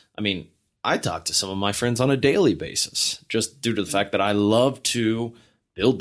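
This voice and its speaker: Recorded very cleanly against a silent background, a man with a plain, everyday voice talks at a moderate pace. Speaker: married guest sharing his story. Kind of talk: casual chat, personal storytelling.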